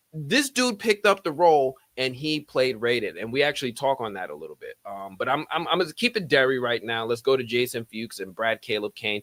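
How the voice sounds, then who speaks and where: In an American accent, a man at medium pitch speaks at a fairly quick pace with hardly any pauses, lively intonation and big swings in loudness, in a very clean, dry, close recording with a silent background and no echo. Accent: thick Bronx accent at times. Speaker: YouTube film commentator. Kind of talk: live stream commentary. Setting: live stream. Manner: casual, energetic.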